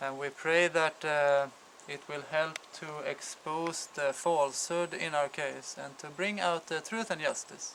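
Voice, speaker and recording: A man with a Swedish accent talks at a fairly slow pace, fairly high in pitch, with fairly even intonation. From Sweden. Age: 40s. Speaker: father appealing for support. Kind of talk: personal testimony. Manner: halting, many fillers.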